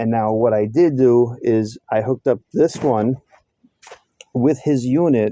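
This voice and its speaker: A dark, mellow voice with ordinary pitch variation moves at a fairly slow pace in a dry, close sound with no echo. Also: man. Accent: New York. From New York. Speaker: mechanic. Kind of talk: workshop tutorial. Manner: casual, halting with fillers.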